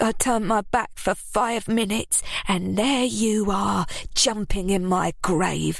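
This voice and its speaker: A female-sounding voice at a medium pitch growls in a put-on character voice, speaking at a fairly slow pace. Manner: dangerous, menacing.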